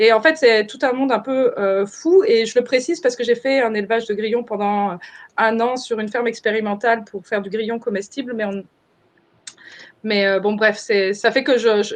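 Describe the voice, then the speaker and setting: A woman speaks at a fairly high pitch with ordinary pitch variation. Her pace is moderate. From France. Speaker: permaculture trainer. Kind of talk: webinar presentation. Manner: halting, many fillers.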